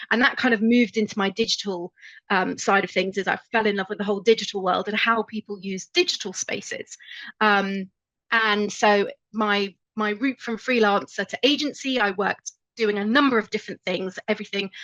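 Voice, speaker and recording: In a British accent, a woman speaks at a fairly quick pace in a medium pitch with a bright, sharp tone and ordinary pitch variation, the sound dry and close with no echo. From UK. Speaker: marketing agency owner. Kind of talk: webinar presentation. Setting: online webinar. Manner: casual with fillers.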